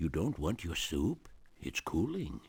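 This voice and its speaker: In a put-on character voice, a man speaks at a fairly slow pace with a very deep, low pitch. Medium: video game.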